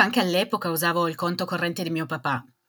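A woman speaks in a fairly low voice with a bright, sharp tone. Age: 40s. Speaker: small business owner. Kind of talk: testimony.

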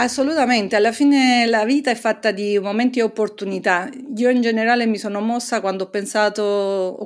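A woman's ordinary speaking voice at medium pitch and a moderate pace, with fairly even intonation, on a very clean recording with a silent background. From Naples, Italy. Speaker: hydrogeologist and professor. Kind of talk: interview.

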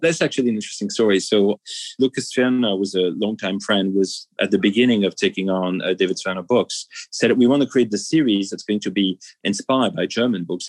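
Delivered at a fairly quick pace in a French accent, the speech has ordinary pitch variation and a dry, close sound with no echo. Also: man. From France. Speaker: museum executive. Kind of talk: interview. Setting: cafe.

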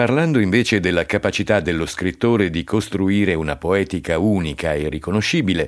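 A man's plain, everyday voice, fairly low in pitch, with lively intonation at a moderate pace. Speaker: podcast narrator. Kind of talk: scripted narration.

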